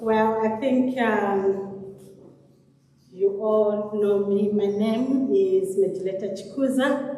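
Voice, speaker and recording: Delivered at a very slow pace with ordinary pitch variation and very even loudness, the speech comes with noticeable background noise and audible room echo. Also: woman, medium pitch for a woman. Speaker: theatre nurse. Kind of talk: health talk to congregation. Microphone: speaking without a microphone.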